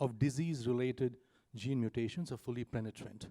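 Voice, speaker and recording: A man talks at a fairly quick pace with an Indian accent, medium pitch and ordinary pitch variation. His tone is dark and mellow, with a dry, close sound and no echo. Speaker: startup founder. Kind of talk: conference panel presentation. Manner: fast.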